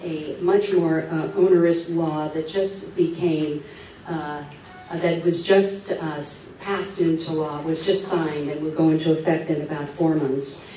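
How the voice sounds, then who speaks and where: A woman with a fairly low pitch and fairly even intonation is heard over light background noise, with audible room echo. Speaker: speaker. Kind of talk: public talk. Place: hall.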